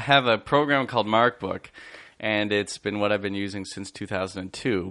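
Over a quiet background, a man with a Canadian accent and a bright, sharp tone speaks at a fairly low pitch with ordinary pitch variation. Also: moderate pace. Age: 30s. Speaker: high school teacher. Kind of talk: casual chat.

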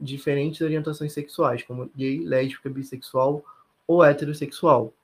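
Here a man speaks in a fairly high, somewhat breathy voice. His pace is moderate and his intonation fairly even. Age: 20s. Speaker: law student and academic researcher. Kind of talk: interview.

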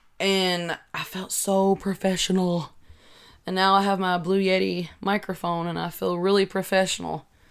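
A woman speaks with a Kentucky accent at a medium pitch, her intonation monotone and flat. The recording is very clean, with a silent background. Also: moderate pace. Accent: Southern US (Kentucky). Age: 20s. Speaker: podcaster. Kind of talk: casual solo chat. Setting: home recording with desk microphone. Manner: halting, many filler words.

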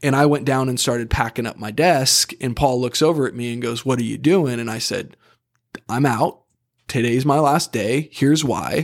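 A man speaks at a moderate pace in a plain, everyday voice of medium pitch. The recording is very clean and the background silent. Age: 30s. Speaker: personal injury attorney. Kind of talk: casual chat.

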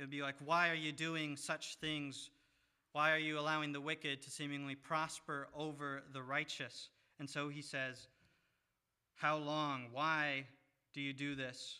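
With an American accent, a man speaks at a fairly slow pace and fairly high pitch. His tone is bright and sharp, his intonation monotone and flat. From US Midwest, Monroe, southern Michigan. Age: 20s. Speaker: seminary student preaching. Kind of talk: sermon.

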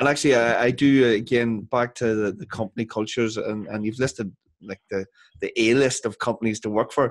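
The voice carries a Northern Irish accent. It moves at a fairly quick pace with fairly even intonation. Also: man, medium pitch for a man. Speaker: podcast host. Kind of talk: interview. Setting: video call.

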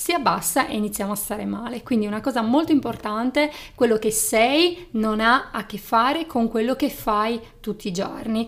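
Her fairly high pitch moves with ordinary variation as a woman talks at a moderate pace. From Sardinia. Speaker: psychologist and podcast host. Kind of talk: casual chat.

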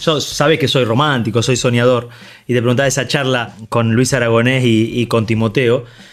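Medium pitch from a man, monotone and flat, with very even loudness. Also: moderate pace. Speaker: former footballer, podcast host. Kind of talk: casual interview chat.

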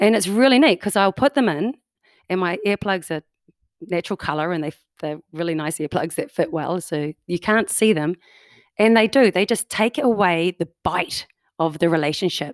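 A woman with a New Zealand accent and a medium pitch, in a very clean recording with a silent background and a dry, close sound with no echo. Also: lively intonation, moderate pace. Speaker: improv performer, homeschooling parent. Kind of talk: casual interview chat. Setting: in-person, same room as host.

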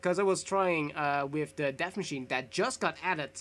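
A man with a Dutch accent speaks at a moderate pace. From Netherlands. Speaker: gaming podcast co-host. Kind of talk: casual chat.

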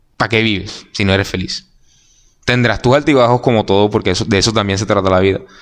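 A man at a very fast pace, fairly low in pitch, with ordinary pitch variation and very even loudness. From Colombia, Barranquilla. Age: 20s. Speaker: journalism student. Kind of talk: casual interview chat.

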